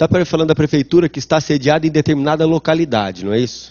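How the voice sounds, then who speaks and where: This man talks at a very fast pace. His pitch sits fairly high for a man. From São Paulo city, Brazil. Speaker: law professor. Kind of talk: lecture. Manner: conversational, rhetorical questions.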